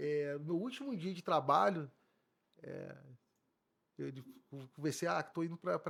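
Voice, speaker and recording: This man's voice sits fairly high. He talks at a fairly quick pace. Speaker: police chief. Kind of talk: interview. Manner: halting.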